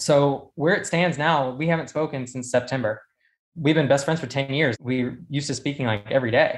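A man's fairly high voice in an American accent, a plain, everyday voice, fairly even in intonation and fairly quick, over a quiet background. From South Carolina. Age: 20s. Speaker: medical student, caller. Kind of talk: personal story. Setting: call-in.

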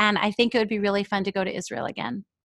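A woman with an American accent and a plain, everyday voice speaks at a fairly high pitch with fairly even intonation, the sound dry and close with no echo against a quiet background. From New York. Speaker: writer and podcast host. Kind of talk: interview.

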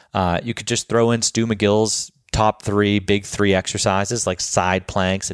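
A man speaks at a fairly slow pace with monotone, flat intonation. The recording is very clean, with a silent background and a dry, close sound with no echo. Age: 30s. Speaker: fitness coach and podcast host. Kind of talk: casual solo podcast monologue. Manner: hesitant with frequent fillers.

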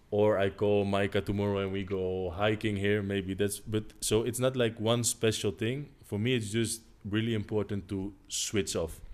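Fairly low in pitch, a man talks at a moderate pace in a monotone with flat intonation and hardly any pauses. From Netherlands. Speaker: professional volleyball player. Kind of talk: casual interview. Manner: halting.

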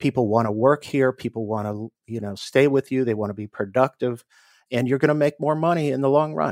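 Recorded very cleanly against a silent background, a man with an unremarkable speaking voice and an American accent talks at a medium pitch and a fairly quick pace, with ordinary pitch variation and a dry, close sound with no echo. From US East Coast, Washington DC area. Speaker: attorney. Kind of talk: interview.

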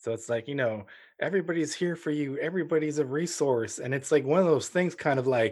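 This man has an ordinary speaking voice at a fairly high pitch. He talks at a fairly quick pace. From Ukraine. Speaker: foster parent. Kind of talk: casual interview.

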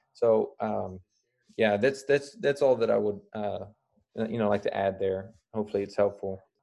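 A man's voice over a quiet background. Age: 30s. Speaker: self-defense instructor. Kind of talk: interview. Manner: halting.

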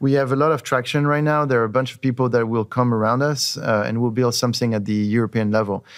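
Over a silent background in a very clean recording, a man with a French accent talks at a very fast pace, medium in pitch, with fairly even intonation. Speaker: tech company CEO. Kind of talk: casual interview conversation.

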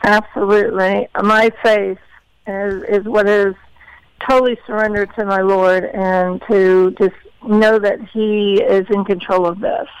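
At a fairly slow pace, a woman talks in an unremarkable speaking voice with fairly even intonation. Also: medium pitch for a woman. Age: 50s. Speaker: heart disease advocate and entrepreneur. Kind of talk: interview.

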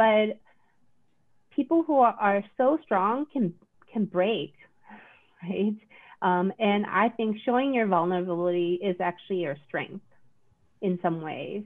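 A woman with a Korean accent talks at a fairly slow pace, leaving long, frequent pauses. Her pitch is medium and her intonation is lively. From South Korea. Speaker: psychiatrist. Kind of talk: casual chat.

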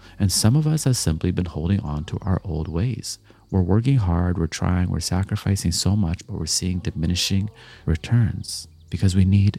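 A man speaks at a very deep, low pitch. His tone is dark and mellow, and somewhat breathy. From Canada, Jamaican heritage. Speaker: motivational speaker. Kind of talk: motivational monologue. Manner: reflective, conversational.

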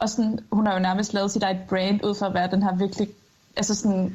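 A woman speaks in a dark, mellow tone that is somewhat breathy. Her intonation stays monotone and flat. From Jutland, Denmark. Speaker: part-time TikToker.

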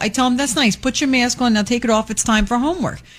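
There is noticeable background noise. A woman speaks at a very fast pace. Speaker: radio co-host. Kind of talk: casual chat. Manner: loud.

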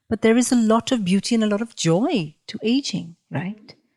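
This woman talks at a moderate pace with a fairly high pitch, lively intonation and a somewhat breathy quality. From India. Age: 40s. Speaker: podcast host. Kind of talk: interview. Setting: in person at guest's dining table.

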